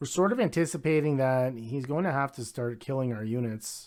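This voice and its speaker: In a very clean recording with a silent background, a man talks with ordinary pitch variation. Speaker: gaming video creator. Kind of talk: live gameplay commentary. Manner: fast; casual with filler words.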